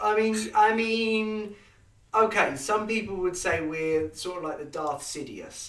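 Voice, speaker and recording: A man speaks in a high voice at a fairly slow pace. There is audible echo in the room. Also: ordinary pitch variation. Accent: English. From England. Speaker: history podcast host. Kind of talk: casual chat.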